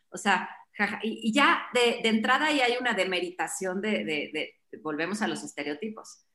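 This is a woman speaking. She has an unremarkable speaking voice. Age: 40s. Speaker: fitness program founder. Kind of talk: casual chat.

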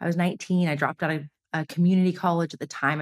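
A woman with a Californian accent talks at a very fast pace in a monotone, flat delivery. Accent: Californian American English. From US West Coast, Los Angeles. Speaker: business founder. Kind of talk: casual interview chat. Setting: in-person recording.

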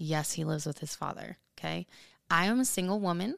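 Recorded very cleanly over a silent background, a normal speaking voice moves at a moderate pace with ordinary pitch variation. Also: woman. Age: 30s. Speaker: hairstylist and podcast co-host. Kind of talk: casual chat.

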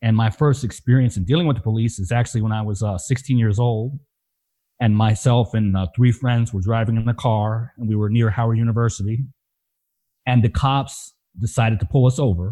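Against a quiet background, a man with an American accent speaks at a fairly quick pace, his medium pitch, ordinary pitch variation and dark, mellow tone somewhat breathy. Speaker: nonprofit communications executive. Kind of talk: personal testimony.

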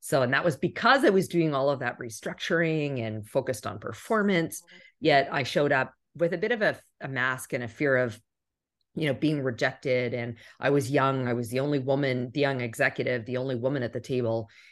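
Against a quiet background, a woman with a very deep, low pitch speaks at a fairly quick pace. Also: ordinary pitch variation. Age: 40s. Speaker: executive and keynote speaker. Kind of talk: interview.

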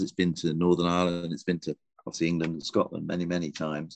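Very deep and low in pitch, a man speaks with an English accent against a quiet background, the sound dry and close with no echo. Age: 60s. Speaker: golf writer and columnist. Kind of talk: casual interview chat. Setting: remote call from a golf club back room.

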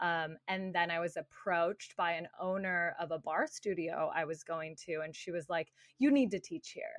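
With an American accent and a normal speaking voice, a woman speaks at a moderate pace in a fairly low pitch, with ordinary pitch variation over a quiet background. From Arizona. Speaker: breathwork, meditation and movement coach. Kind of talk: casual chat.

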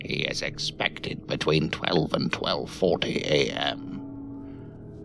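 Clear music plays in the background. Over it, a man performs a put-on character voice. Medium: audio drama. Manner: curt, businesslike.

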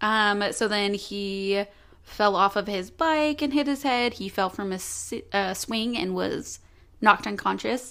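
A woman speaks at a fairly slow pace. Her pitch is medium, with ordinary variation. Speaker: true crime podcast co-host. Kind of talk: casual storytelling.

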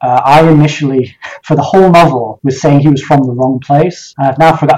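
A man's fairly high, somewhat breathy voice in a Highland Scottish accent, with fairly even intonation and a fairly quick pace. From Scotland, Highlands. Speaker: novelist. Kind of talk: interview.

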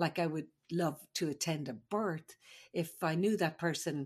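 This woman has an Irish accent. Her pitch is very deep and low. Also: quiet background. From Ireland. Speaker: midwife. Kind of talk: casual chat and storytelling.

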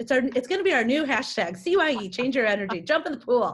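A woman with an American accent, somewhat breathy, her pitch swinging very widely. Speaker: communications executive. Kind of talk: interview. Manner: enthusiastic.

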